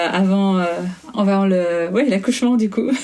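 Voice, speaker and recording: Against noticeable background noise and audible room echo, a woman speaks at a fairly slow pace. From Belgium. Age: 30s. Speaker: Instagram content creator, winegrower. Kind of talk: interview. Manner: halting.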